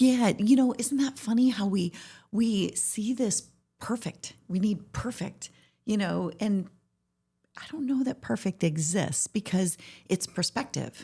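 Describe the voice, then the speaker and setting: A somewhat breathy woman's voice comes through in a very clean recording with a silent background. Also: medium pitch for a woman, ordinary pitch variation, fairly slow pace. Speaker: podcast host. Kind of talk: interview conversation. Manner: stutters at times.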